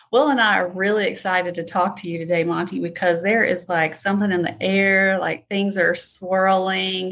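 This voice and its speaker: This woman has an unremarkable speaking voice at medium pitch. She talks at a moderate pace with fairly even intonation. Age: 40s. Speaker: podcast host. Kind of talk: casual interview chat.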